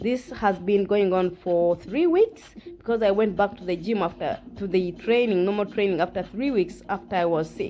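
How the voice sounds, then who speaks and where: A woman with a non-native accent speaks at medium pitch and a moderate pace, with ordinary pitch variation. Noticeable background noise is present. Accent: non-native English, self-described imperfect. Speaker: fitness vlogger. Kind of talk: workout tutorial. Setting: at home. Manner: halting, frequent self-corrections; casual, encouraging.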